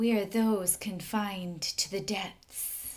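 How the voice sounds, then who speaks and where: Using a put-on character voice, a woman speaks at a very slow pace in a raspy, medium-pitched tone. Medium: read story. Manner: pleading and wheedling.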